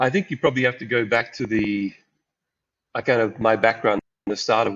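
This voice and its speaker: Monotone, flat intonation from a man with an Australian accent, at a fairly quick pace. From rural Queensland, Australia. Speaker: angel investor. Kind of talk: podcast interview. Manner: hesitant, with repetitions.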